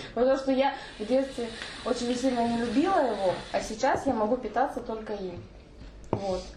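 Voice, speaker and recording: Speaking at a moderate pace with long, frequent pauses, a woman uses a high pitch and ordinary pitch variation, with noticeable background noise and audible room echo. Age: 20s. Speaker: podcast guest. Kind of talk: casual chat.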